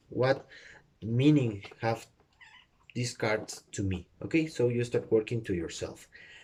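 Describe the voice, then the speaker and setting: A man speaks with a Spanish accent at medium pitch. His pace is fairly slow. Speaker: tarot reader. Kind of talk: tutorial. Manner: halting, many fillers.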